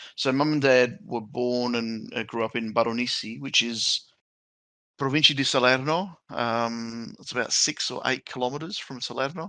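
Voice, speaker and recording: With a bright, sharp tone and medium pitch, a man speaks at a moderate pace with ordinary pitch variation against a quiet background. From Australia. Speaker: podcast co-host. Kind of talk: casual chat.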